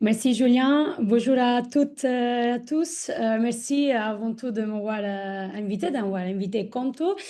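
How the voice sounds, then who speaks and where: At a very slow pace, a woman with an Italian accent speaks in a fairly high voice with a dark, mellow tone and ordinary pitch variation. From Italy. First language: Italian (speaking French). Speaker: corporate ESG manager. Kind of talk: webinar guest introduction. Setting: online webinar. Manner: hesitant, many fillers.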